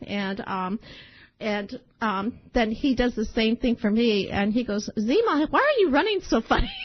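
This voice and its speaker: At a fairly slow pace, a woman speaks with fairly high pitch and ordinary pitch variation. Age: 60s. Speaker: podcast host. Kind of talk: casual monologue. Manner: animated.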